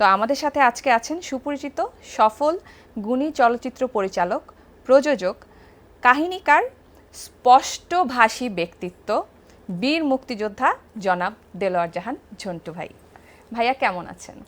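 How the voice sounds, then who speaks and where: A woman speaks in a high voice with very wide pitch swings. Her loudness also swings a lot. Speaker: talk show host. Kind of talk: casual chat. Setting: studio. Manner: formal.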